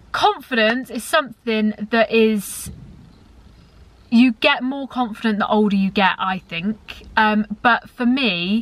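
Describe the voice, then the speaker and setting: The pace is very slow, with ordinary pitch variation. Noticeable background noise runs underneath. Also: woman, fairly high pitch for a woman. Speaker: YouTuber. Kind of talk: casual chat. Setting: in a car. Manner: loud; chatty.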